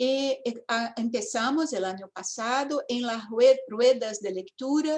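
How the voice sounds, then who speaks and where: Speaking at a very slow pace, a woman with a Portuguese accent has a high pitch and ordinary pitch variation. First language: Portuguese (speaking Spanish). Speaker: education professor. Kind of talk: academic talk.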